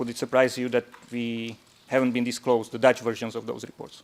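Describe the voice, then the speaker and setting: Amid noticeable background noise, a man with a non-native accent talks at a fairly quick pace in a medium pitch with monotone, flat intonation. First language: not English. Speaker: defence counsel cross-examining witnesses. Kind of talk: courtroom cross-examination. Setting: courtroom.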